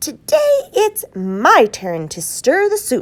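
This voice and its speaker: Putting on a character voice, a woman speaks very slowly at an extremely high pitch. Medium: read story.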